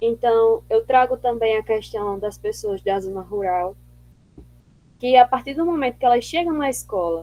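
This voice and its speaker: A woman speaks with a strong northeastern Brazilian accent. Her fairly high voice has a dark, mellow tone. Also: lively intonation. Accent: strong drawling northeastern Brazilian. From Northeast Brazil. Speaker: seminar presenter, education researcher. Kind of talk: academic discussion. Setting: video call.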